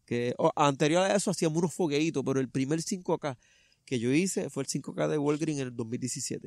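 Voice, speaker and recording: Against a quiet background, a man with a plain, everyday voice speaks fairly slowly at a fairly high pitch with ordinary pitch variation. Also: dry sound with no echo. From Puerto Rico, Vega Baja; Puerto Rico. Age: 30s. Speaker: truck driver and trail runner; interviewee. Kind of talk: interview, personal story. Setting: outdoors in a park. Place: open country.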